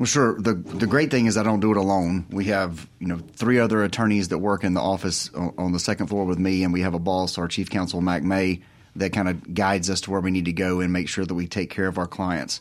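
A man with a very deep, low pitch and a Southern US accent, at a fairly quick pace with hardly any pauses. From Mississippi. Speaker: lawyer. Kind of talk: radio interview. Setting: studio.

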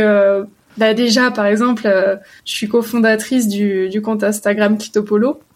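A woman's fairly high voice, fairly slow and monotone with flat intonation. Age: 20s. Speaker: psychosexology student. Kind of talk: interview. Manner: halting.

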